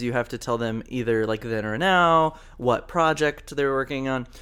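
Heard in a very clean recording with a silent background, a man with a normal speaking voice talks at a moderate pace with ordinary pitch variation. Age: 20s. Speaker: podcast co-host. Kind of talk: casual chat.

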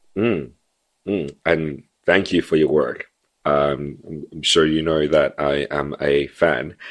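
A man with a very deep, low pitch and vocal fry speaks at a very slow pace, with fairly even intonation and long, frequent pauses. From Zimbabwe. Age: 30s. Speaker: podcast host. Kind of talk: interview.

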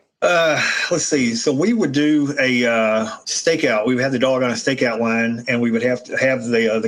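Over noticeable background noise, a man speaks at medium pitch and a moderate pace with hardly any pauses and very even loudness. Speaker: retired police K9 handler and trainer. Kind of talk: casual interview conversation.

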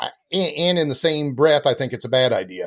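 A man talks with an American accent. His pitch variation is ordinary. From US Midwest, southern Iowa. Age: 50s. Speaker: livestock photographer. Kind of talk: casual interview. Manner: animated.

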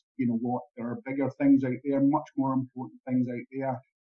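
Music plays in the background as a man talks with a Scottish accent. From Scotland. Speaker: performance analyst. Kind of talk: interview.

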